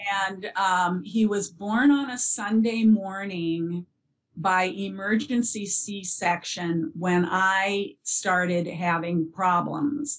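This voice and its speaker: Speaking very slowly, a woman uses a medium pitch with ordinary pitch variation and a somewhat breathy sound. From US Upper Midwest (northern Minnesota). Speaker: bereaved parent and early childhood educator. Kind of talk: interview about grief.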